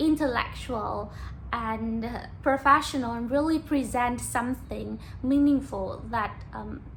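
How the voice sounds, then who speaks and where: A woman's high voice in a Vietnamese accent at a very slow pace, with audible room echo. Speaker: YouTuber practicing English. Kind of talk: casual monologue to camera. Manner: halting, with fillers.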